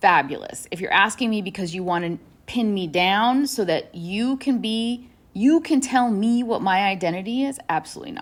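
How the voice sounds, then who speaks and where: A woman with an American accent in an ordinary speaking voice, medium in pitch with lively intonation, at a moderate pace on a very clean recording with a silent background. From New Hampshire and New York, US. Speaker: author and journalist. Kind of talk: interview. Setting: podcast interview.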